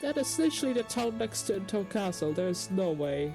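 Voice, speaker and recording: The speaker goes at a moderate pace while music plays in the background. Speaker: let's player. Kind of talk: reading game dialogue aloud with commentary.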